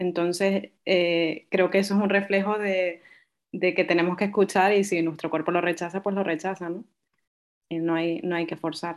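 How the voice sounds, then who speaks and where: A woman at a fairly low pitch, flat and monotone, at a moderate pace on a very clean recording with a silent background. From Canary Islands, Tenerife. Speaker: podcast co-host, co-founder of remote work initiative. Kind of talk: casual chat.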